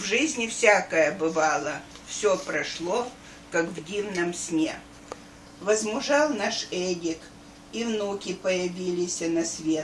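With audible room echo and light background noise, a woman of medium pitch speaks very slowly, with long, frequent pauses and lively intonation. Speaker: grandmother. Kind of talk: reading aloud. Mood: warm, festive. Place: home room. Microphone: camera far.

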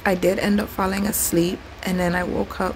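A woman talks over noticeable background noise. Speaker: travel vlogger. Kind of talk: casual vlog chat. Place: home room. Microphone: phone near.

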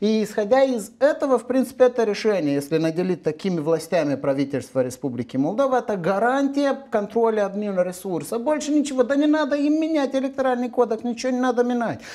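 Over a quiet background, a man speaks very fast with hardly any pauses in an extremely high pitch, his dark, mellow tone swinging very widely in pitch. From Moldova. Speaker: legal expert; guest. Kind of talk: TV political talk show discussion. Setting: TV studio. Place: studio. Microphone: lapel.

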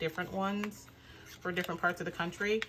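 A woman's fairly even-toned voice over light background noise. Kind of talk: casual haul vlog chat.

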